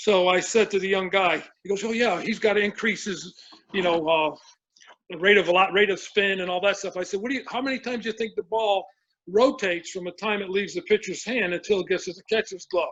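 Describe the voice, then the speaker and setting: Very fast talking comes from a man with a high pitch. His intonation stays fairly even. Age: 70s. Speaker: baseball pitching coach. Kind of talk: casual interview chat. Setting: podcast interview. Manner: halting, with many restarts.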